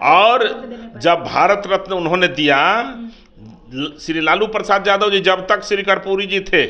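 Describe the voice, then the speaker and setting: A man's voice is raised and projected, with a high pitch and fairly even intonation. Noticeable background noise is present. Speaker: political party spokesperson. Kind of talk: political statement to press.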